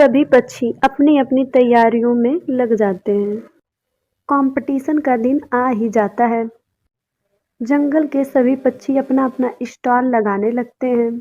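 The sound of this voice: Slow and fairly even in intonation, a woman speaks at a fairly high pitch. Her tone is dark and mellow.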